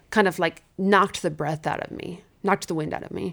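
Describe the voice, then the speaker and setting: Speaking at a moderate pace, a woman with a fairly low pitch and vocal fry keeps a monotone, flat intonation. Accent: American. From US Midwest. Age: 30s. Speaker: seminary-trained women's speaker, chronic illness sufferer. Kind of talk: testimony.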